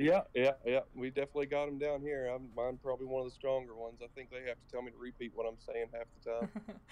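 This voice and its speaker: A man with a strong Southern US accent talks at a very fast pace with hardly any pauses, at a medium pitch with ordinary pitch variation. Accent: strong southern twang. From Kentucky. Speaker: esports player. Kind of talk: casual interview.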